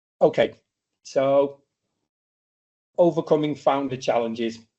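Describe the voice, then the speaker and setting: A man speaks with a British accent. His pace is moderate and his pitch variation ordinary. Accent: British accent, noticeable. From UK. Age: 40s. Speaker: startup mentor and speaker. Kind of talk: masterclass lecture. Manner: casual, with frequent fillers.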